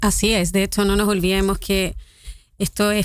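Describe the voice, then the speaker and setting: In a Chilean accent, a woman speaks at a medium pitch with monotone, flat intonation. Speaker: activist. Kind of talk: radio interview.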